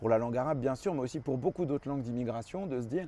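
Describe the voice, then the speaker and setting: A man's dark, mellow tone comes with ordinary pitch variation. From France (arrived from Lebanon at four). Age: 40s. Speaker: journalist and author. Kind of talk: interview monologue. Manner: casual with frequent fillers.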